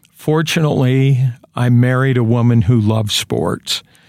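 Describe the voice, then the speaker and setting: Someone with a normal speaking voice and an American accent speaks at a fairly slow pace with fairly even intonation. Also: man. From eastern Idaho, US. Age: 60s. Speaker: sports play-by-play announcer. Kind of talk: interview, reminiscing. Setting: studio.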